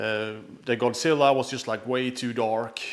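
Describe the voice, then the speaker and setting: A man's medium-pitched, monotone voice with flat intonation. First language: not English. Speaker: pinball streamer. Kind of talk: live stream unboxing commentary. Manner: casual, halting with many fillers.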